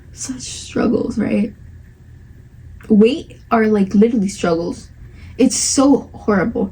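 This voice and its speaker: A woman with a Spanish accent talks at a very slow pace, leaving long, frequent pauses. Her fairly high voice has ordinary pitch variation over noticeable background noise. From Spanish-speaking country, moved at eight. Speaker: podcast host. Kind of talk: casual chat. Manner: animated.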